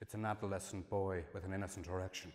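Somewhat breathy, fairly low male voice over light background noise. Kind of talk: performance reading. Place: hall.

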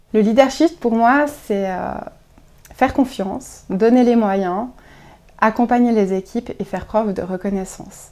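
Fairly high in pitch, a woman's dark, mellow voice moves at a fairly slow pace. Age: 30s. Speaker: clinic deputy director. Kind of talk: interview answers. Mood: warm, smiling. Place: office.

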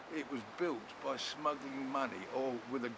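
A man speaks fairly slowly, with noticeable background noise. The sound is dry, with no echo. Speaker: presenter. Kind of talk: interview answer. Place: beach.

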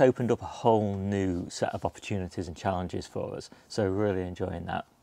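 A man speaks at a moderate pace in an unremarkable speaking voice with ordinary pitch variation. The sound is dry, with no echo. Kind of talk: casual vlog chat. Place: garden. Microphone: lapel.

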